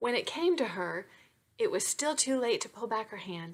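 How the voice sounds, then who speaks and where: Lively intonation marks a woman's fairly high-pitched voice. The recording is very clean, with a silent background. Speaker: romance novelist. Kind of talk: reading aloud; casual chat. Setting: home webcam recording. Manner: fast.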